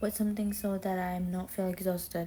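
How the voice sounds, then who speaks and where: With a non-native accent, a woman speaks at a moderate pace and medium pitch in a monotone, flat way, her tone dark, mellow and somewhat breathy. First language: not English. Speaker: vlogger. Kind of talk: self-talk monologue. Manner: casual, halting.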